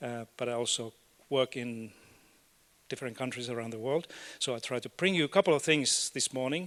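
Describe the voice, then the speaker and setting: A man at medium pitch and a fairly quick pace, with long, frequent pauses and ordinary pitch variation, in a very clean recording with a silent background and a dry, close sound with no echo. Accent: Finnish. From Finland. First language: Finnish and Swedish. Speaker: education academic and policy expert. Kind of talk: conference keynote talk. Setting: stage with audience. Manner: halting, with fillers and repeats.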